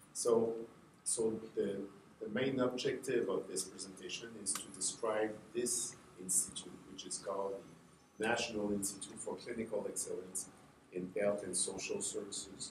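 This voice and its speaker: A man at a moderate pace, with audible room echo. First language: French. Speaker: health agency representative. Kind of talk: conference presentation. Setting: conference workshop with audience. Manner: halting, many fillers.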